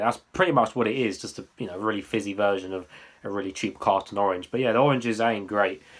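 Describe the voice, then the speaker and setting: A man with an English accent. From England. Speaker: YouTube drink reviewer. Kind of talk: product review. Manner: casual, hesitant with fillers. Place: home room. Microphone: webcam.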